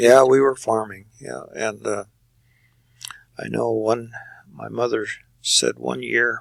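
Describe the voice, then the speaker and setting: A man with an American accent speaks at a very slow pace, with long, frequent pauses. His loudness swings a lot. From Kansas, USA. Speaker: retired farmer. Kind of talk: oral history interview answer.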